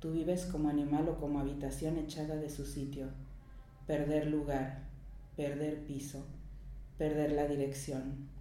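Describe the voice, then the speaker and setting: Monotone, flat intonation with long, frequent pauses over noticeable background noise. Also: woman, very deep, low pitch for a woman, fairly quick pace. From Mexico. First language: Spanish. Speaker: poet. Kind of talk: interview.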